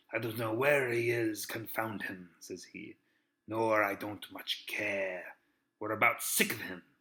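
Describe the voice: The speaker reads aloud plainly, with ordinary pitch variation. The background is quiet.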